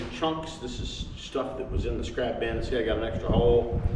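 The speech comes at a fairly slow pace with audible room echo. Loud background noise sits behind it. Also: man. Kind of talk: tutorial. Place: workshop. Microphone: camera far.

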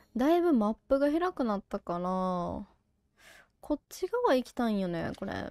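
A woman speaks at a moderate pace, her pitch fairly high. Her pitch swings very widely, and the recording is very clean with a silent background. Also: dry, close sound with no echo. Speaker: game streamer. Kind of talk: casual let's-play commentary.

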